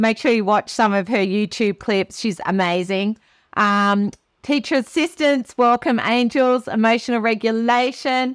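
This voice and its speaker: A woman with an ordinary speaking voice at a fairly slow pace, with ordinary pitch variation, very even loudness and a dry, close sound with no echo. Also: fairly high pitch for a woman. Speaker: teacher and webinar presenter. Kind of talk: live webinar presentation. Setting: video call webinar.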